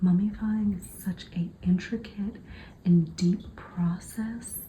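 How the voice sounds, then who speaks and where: A dark, mellow tone, somewhat breathy, with fairly even intonation. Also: woman. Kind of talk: ASMR book flip-through narration, talking to camera. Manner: soft, whispered ASMR delivery.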